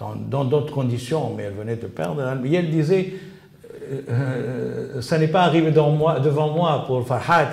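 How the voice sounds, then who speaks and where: Over noticeable background noise and audible room echo, a man with a fairly high pitch speaks at a fairly slow pace. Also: ordinary pitch variation. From Tunisia. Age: 70s. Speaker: interviewee researching his father's assassination. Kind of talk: interview. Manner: halting, many repetitions and fillers.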